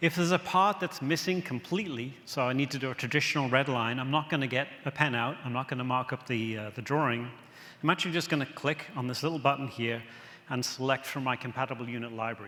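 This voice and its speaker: This man's voice has a bright, sharp tone at a medium pitch with ordinary pitch variation. He talks at a very fast pace. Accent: English. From England. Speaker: software presenter. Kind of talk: conference product demo.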